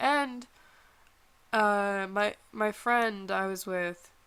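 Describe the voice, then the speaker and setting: The very clean recording, with a silent background, carries a woman's fairly high-pitched voice. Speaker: voice actor.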